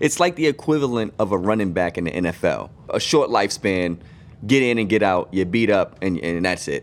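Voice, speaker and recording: With an American accent and an unremarkable speaking voice, a man talks at a fairly quick pace with lively intonation and fairly low pitch on a very clean recording with a silent background. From Boston. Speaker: sports podcast co-host. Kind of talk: casual chat.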